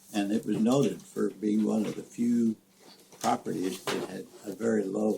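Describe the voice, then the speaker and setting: With a Midwestern American accent, a man talks at a moderate pace in a fairly low pitch with ordinary pitch variation, over noticeable background noise. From rural Nebraska. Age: 80s+. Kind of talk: family storytelling, reminiscing.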